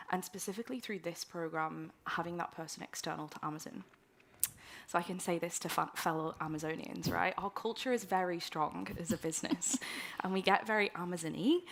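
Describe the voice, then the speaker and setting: Fairly low, fairly quick female speech with vocal fry. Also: ordinary pitch variation. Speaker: operations leader, mentee on a panel. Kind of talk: panel discussion.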